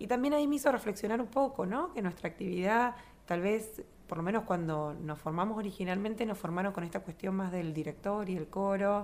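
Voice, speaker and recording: Using lively intonation, a woman with an unremarkable speaking voice talks at a medium pitch and a fairly quick pace. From Argentina, Río Gallegos (Santa Cruz). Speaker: choir director. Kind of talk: interview.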